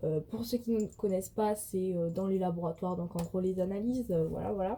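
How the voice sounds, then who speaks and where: With a southern French accent, a woman speaks in a dark, mellow, somewhat breathy voice with fairly even intonation. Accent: southern French accent, noticeable. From southwestern France, countryside. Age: 20s. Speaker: vlogger and student. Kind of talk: casual vlog Q&A. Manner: hesitant, many fillers.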